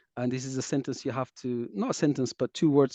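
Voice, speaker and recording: A man with a non-native accent speaks in a dark, mellow tone and a flat monotone, recorded dry and close with no echo over a quiet background. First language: not English. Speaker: taiko dojo host interviewer. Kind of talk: casual interview.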